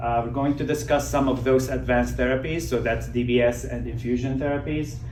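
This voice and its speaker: Amid noticeable background noise and audible room echo, a man talks at a fairly quick pace. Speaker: neurologist. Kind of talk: lecture. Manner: drops voice and goes quiet.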